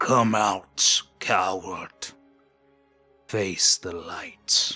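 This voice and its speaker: A man uses a put-on character voice that is guttural and raspy, fairly low in pitch. Faint music plays in the background. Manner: menacing.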